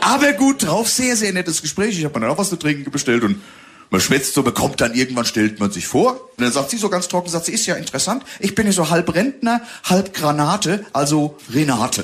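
Very wide pitch swings mark this man's high-pitched voice as he speaks at a fairly quick pace. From Hesse region, Germany (Bingen am Rhein). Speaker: comedian. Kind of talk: casual chat. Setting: studio. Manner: animated.

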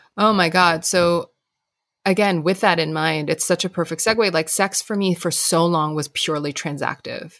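An unremarkable speaking voice at a moderate pace with fairly even intonation. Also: woman, fairly low pitch for a woman. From Hong Kong, then US from teens. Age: 40s. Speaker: author and podcast host. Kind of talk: casual interview chat.

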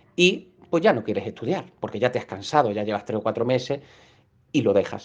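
A man speaks at a fairly quick pace with lively intonation. It is a plain, everyday voice. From Málaga, Andalusia, Spain. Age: 40s. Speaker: exam prep course narrator. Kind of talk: informal talk to listeners.

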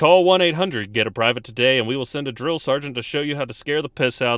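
A man at medium pitch talking very fast with ordinary pitch variation, on a very clean recording with a silent background. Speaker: podcast host and sketch comedian. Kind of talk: vintage-style commercial parody, mock announcer ad read. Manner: animated, exaggerated infomercial enthusiasm.

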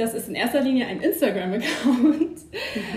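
The speech moves at a moderate pace with ordinary pitch variation. Noticeable background noise and audible room echo fill the recording. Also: woman. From rural Germany. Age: 20s. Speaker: co-founder of a second-hand guide account. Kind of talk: casual chat.

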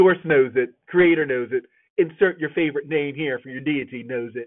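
This is a man with an ordinary speaking voice. His pitch is fairly high, with ordinary variation. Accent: American. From New Jersey, US. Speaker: podcast host. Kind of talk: personal monologue podcast. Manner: frequent fillers (um, you know).

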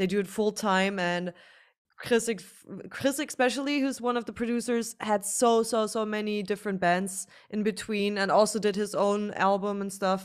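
A woman with a German accent at medium pitch and a moderate pace, fairly even in intonation, in a very clean recording with a silent background. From Germany. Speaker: musician. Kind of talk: interview.

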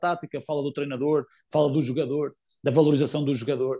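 A man with a European Portuguese accent speaks very fast in a flat monotone, his tone dark and mellow, with a dry, close sound and no echo. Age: 20s. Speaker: footballer, team captain. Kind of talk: interview. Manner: halting, many fillers and repetitions.

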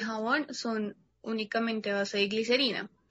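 Her tone is bright and sharp. The woman speaks with monotone, flat intonation. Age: 20s. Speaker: entrepreneur. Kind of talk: interview.

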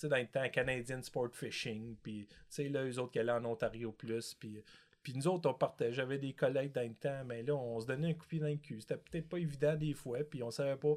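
A man speaks at a moderate pace and medium pitch in an ordinary speaking voice with fairly even intonation. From Quebec, Montreal. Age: 50s. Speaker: multi-species angler. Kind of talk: casual chat.

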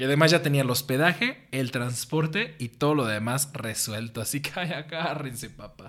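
The man has an ordinary speaking voice and lively intonation. He talks at a fairly slow pace. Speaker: podcast host. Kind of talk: scripted narration.

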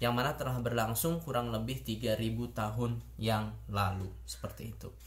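Somewhat breathy, a man talks at a fairly slow pace with audible room echo. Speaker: YouTuber, international relations student. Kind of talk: educational video monologue. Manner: hesitant, many fillers.

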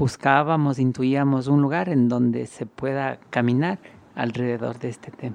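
Here a man speaks in an unremarkable speaking voice at medium pitch. His pace is moderate and his intonation fairly even. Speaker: walking artist. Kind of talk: interview testimony.

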